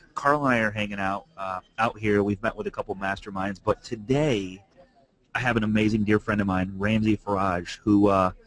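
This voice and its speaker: At a moderate pace, a man speaks with a fairly low pitch in a dry, close sound with no echo. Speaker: real estate coaching host. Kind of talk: live webinar talk. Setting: in a cafe, wearing a headset. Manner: halting, many fillers.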